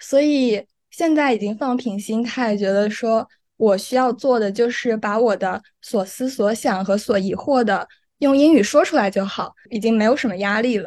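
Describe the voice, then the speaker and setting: Over a quiet background, a woman with a fairly high pitch talks in a normal speaking voice at a moderate pace with ordinary pitch variation. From mainland China, not Guangdong. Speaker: law student. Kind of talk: casual interview.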